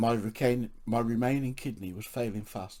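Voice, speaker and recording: A man in an English accent holds a medium pitch and a moderate pace. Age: 60s. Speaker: podcaster with chronic illness. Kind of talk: reading aloud.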